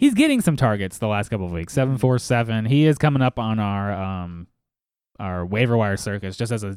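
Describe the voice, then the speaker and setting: At a fairly quick pace, a man talks with ordinary shifts in pitch. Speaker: fantasy football podcast host. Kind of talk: casual chat. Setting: studio.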